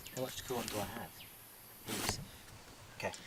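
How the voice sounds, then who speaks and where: Noticeable background noise sits behind a voice with an Australian accent. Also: man. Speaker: car modding vlogger. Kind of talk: casual walkaround tutorial. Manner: halting, stuttering; casual.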